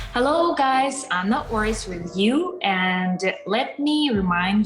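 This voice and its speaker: With a slight Russian accent and lively intonation, a woman speaks at medium pitch amid audible room echo and music in the background. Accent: Russian accent in English, mild. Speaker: actress and blogger. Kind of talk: casual vlog introduction.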